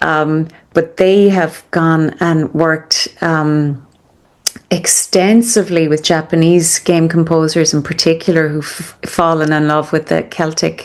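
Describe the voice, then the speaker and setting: Monotone, flat intonation in an Irish accent at a fairly slow pace. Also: woman, fairly low pitch for a woman. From Ireland. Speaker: conductor and composer. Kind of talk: interview answer.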